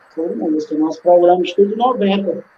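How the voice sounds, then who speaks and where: The speaker is a man at a moderate pace. Noticeable background noise is present. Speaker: DJ and composer. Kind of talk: casual interview.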